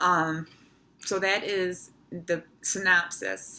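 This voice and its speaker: A woman is heard in a very clean recording with a silent background. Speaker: brain tumor patient vlogger. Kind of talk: personal video diary. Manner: slow, deliberate speech after seizures.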